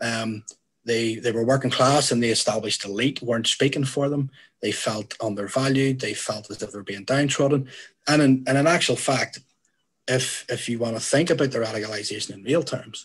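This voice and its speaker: Somewhat breathy, a man with a Northern Irish accent speaks at a fairly quick pace and medium pitch, with ordinary pitch variation. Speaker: youth worker. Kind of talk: panel talk.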